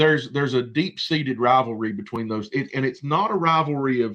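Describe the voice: A man speaks at a medium pitch with a fairly bright tone and ordinary pitch variation. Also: moderate pace.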